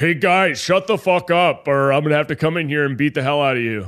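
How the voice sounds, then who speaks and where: Delivered at a very fast pace, this put-on character voice comes across gruff. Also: man, fairly high pitch for a man. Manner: threatening.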